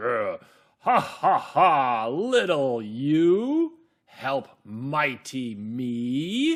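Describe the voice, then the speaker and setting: Using a put-on character voice at a medium pitch, a man talks at a very slow pace. The recording is very clean with a silent background. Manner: contemptuous, lazy.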